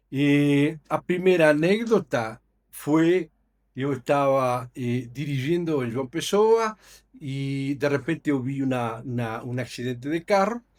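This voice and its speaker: A man with a Uruguayan accent speaks at a fairly high pitch. His pace is very slow and his intonation lively. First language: Spanish (speaking Portuguese). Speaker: company executive. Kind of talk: podcast interview. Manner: halting, many fillers.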